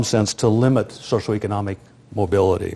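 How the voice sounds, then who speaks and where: Speaking with an American accent, a man talks at a fairly quick pace. His tone is dark and mellow, with fairly even intonation. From US Midwest, rural South Dakota. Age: 60s. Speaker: sociologist and demographer. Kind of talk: lecture.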